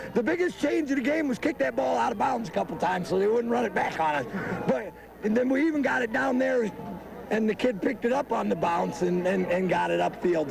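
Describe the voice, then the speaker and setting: Noticeable background noise sits behind a man's voice. He speaks at a high pitch with lively intonation. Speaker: high school football coach. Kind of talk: post-game interview. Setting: outdoors on football field.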